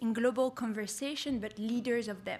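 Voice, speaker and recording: In a French accent, a woman speaks at a high pitch with fairly even intonation. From France. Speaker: youth program founder. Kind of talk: conference speech.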